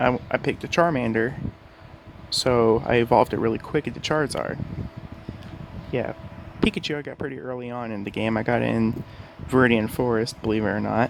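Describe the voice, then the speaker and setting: The speech moves at a fairly quick pace but has long, frequent pauses, with fairly even intonation. The voice is quiet, and background noise is noticeable. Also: man, medium pitch for a man. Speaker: gaming YouTuber. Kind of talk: casual gaming talk to camera. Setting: home bedroom. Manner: quiet, keeping voice down.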